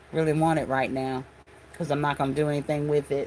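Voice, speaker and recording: This woman's voice sits very deep and low. She keeps her intonation monotone and flat. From Hawaii. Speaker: craft livestreamer. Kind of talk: casual livestream chat. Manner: chatty, conversational.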